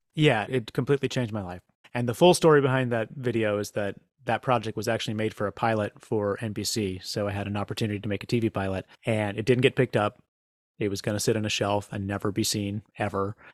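The speaker talks at a very fast pace with an American accent. The pitch varies in an ordinary way, and the sound is dry and close with no echo. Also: man, fairly low pitch for a man. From US South. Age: 40s. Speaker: comedian and prank organizer. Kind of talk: interview conversation.

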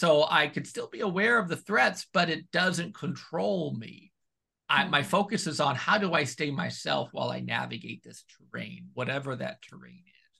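With vocal fry and a bright, sharp tone, a man speaks at a moderate pace, his fairly high pitch carried by lively intonation. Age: 40s. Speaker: pastoral counselor and author. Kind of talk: interview.

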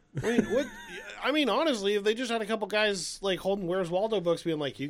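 A high-pitched man talks very fast with big swings in loudness, amid noticeable background noise. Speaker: podcast co-host. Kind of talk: casual chat. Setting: studio. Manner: animated.

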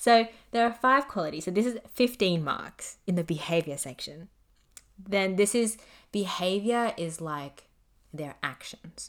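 In a very clean recording with a silent background, a woman speaks with an ordinary speaking voice at a medium pitch, fairly slowly and with lively intonation. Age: 20s. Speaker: solo podcast host. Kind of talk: casual monologue. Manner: casual, filler-heavy.

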